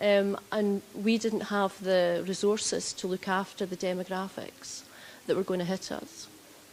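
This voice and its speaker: With a strong Scottish accent, a woman speaks at a fairly slow pace and medium pitch. Her intonation is flat and monotone. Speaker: health executive. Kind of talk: conference presentation. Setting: stage with audience. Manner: deliberately slower.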